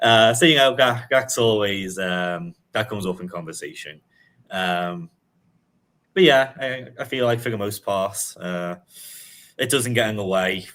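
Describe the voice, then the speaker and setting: With a Liverpool accent, a man speaks fairly slowly at a fairly low pitch, his intonation lively and broken by long, frequent pauses. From England, Liverpool. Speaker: sports journalist. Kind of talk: casual chat. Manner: frequent fillers and hesitations.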